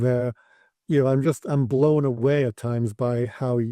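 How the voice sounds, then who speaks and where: Dry and close with no echo, a man's medium-pitched voice carries a dark, mellow tone and ordinary pitch variation over a quiet background. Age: 70s. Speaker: polar explorer and coach. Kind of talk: podcast interview.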